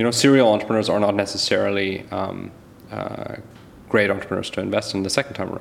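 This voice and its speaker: A man with a fairly low pitch and fairly even intonation rushes along at a very fast pace while noticeable background noise plays underneath. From Germany and Canada. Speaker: venture capitalist. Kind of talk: interview.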